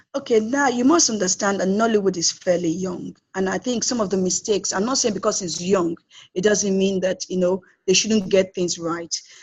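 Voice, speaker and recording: A woman speaks at a fairly quick pace in a medium-pitched voice. Her delivery is somewhat breathy, with ordinary pitch variation. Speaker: film producer. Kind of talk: interview. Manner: fast.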